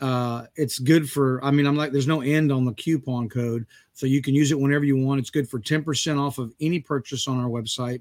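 In a plain, everyday voice with an American accent, the speaker moves at a fairly quick pace with hardly any pauses and fairly even intonation. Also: man, fairly high pitch for a man. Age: 50s. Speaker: podcast host and coffee business owner. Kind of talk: casual chat.

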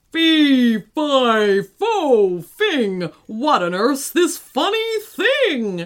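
In a put-on character voice, a female-sounding speaker goes very slowly at a high pitch with very wide pitch swings. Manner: bellowing, looming.

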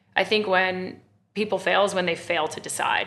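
Delivered at a fairly quick pace, a normal speaking voice carries an American accent. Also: woman. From Texas, Austin. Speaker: wine company founder and CEO. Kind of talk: interview conversation.

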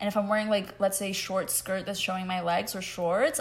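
A woman speaks with monotone, flat intonation. Her voice is somewhat breathy. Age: 20s. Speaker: podcast co-host. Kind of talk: casual chat.

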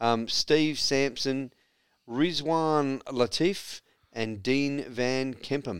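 Very slow in pace, a man speaks at a medium pitch. His pitch variation is ordinary. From South Australia. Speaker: sports radio co-host. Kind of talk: casual chat. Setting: studio.

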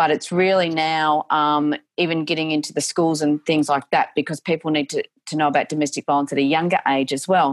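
In an Australian accent, a woman with a very deep, low pitch speaks at a moderate pace with fairly even intonation, the sound dry and close with no echo. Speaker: domestic violence advocate and speaker. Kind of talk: interview.

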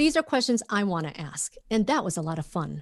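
A woman with an American accent talks at a moderate pace in a normal speaking voice over a quiet background. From Minnesota, US. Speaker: journalist and podcast host. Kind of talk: casual interview chat.

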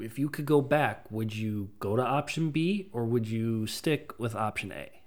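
A normal speaking voice from a man, fairly slow, medium in pitch, with ordinary pitch variation and hardly any pauses. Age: 30s. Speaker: podcast co-host. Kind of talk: casual chat.

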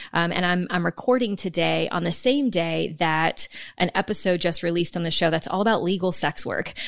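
Here is an unremarkable speaking voice: a woman with a fairly low pitch talking at a fairly quick pace. Her pitch varies in an ordinary way, on a very clean recording with a silent background. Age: 30s. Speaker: podcast host and sex coach. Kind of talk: casual interview.

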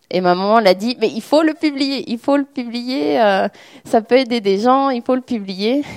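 A woman talks in an ordinary speaking voice. Her intonation is lively and her pace fairly slow. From French-speaking Switzerland, Lausanne. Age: 20s. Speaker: author speaking about her dyslexia. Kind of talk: public talk with audience questions.

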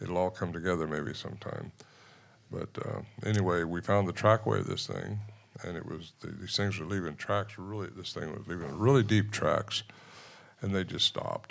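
Very deep and low in pitch, a man's voice carries vocal fry. He moves at a moderate pace with ordinary pitch variation. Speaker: Bigfoot researcher and author. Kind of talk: storytelling on stage at a live event. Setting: stage with audience.

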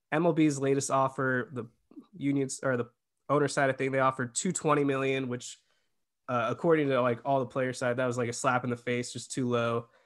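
A plain, everyday voice carries fairly even intonation throughout. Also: man, medium pitch for a man, fairly quick pace. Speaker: podcast host. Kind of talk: casual sports discussion.

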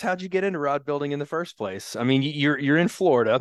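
A man's unremarkable speaking voice, fairly quick, with ordinary pitch variation. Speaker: podcast host. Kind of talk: casual interview.

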